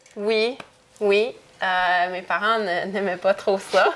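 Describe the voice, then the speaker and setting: A woman at medium pitch speaks at a very slow pace, with noticeable background noise. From Canada, moved often (Ontario, Quebec, Europe). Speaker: interview guest. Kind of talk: casual interview chat. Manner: halting, many hesitations.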